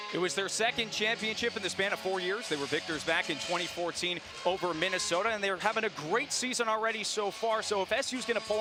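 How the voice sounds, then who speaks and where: A man speaks at a very fast pace in a raised, projected voice with music in the background. His pitch is high, with ordinary variation. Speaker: sports broadcaster. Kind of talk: broadcast open.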